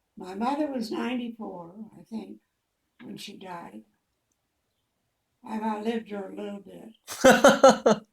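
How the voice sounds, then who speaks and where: A woman with an American accent and vocal fry speaks fairly slowly at a fairly high pitch, with ordinary pitch variation, big swings in loudness, and long, frequent pauses. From Indiana, Fort Wayne. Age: 90s. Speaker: elderly mother interviewed by family. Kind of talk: casual chat.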